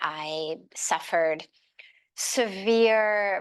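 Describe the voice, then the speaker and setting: A woman with an American accent speaks with fairly even intonation over a quiet background. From Los Angeles, USA. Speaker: spiritual leader and motivational speaker. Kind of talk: podcast interview answer.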